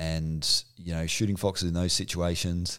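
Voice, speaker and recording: With an Australian accent and a very deep, low pitch, a man speaks at a moderate pace with fairly even intonation on a very clean recording with a silent background. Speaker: hunting podcast co-host. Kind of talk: casual chat.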